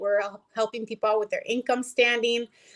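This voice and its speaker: In an unremarkable speaking voice, a woman with fairly high pitch and fairly even intonation is heard on a very clean recording with a silent background and a dry, close sound with no echo. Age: 20s. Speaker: company vice president, guest. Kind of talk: casual interview chat.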